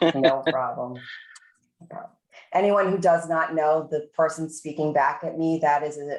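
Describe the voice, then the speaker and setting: A woman speaks with a Boston accent. Her pitch sits very deep and low. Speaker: university administrator leading faculty meeting. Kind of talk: meeting presentation.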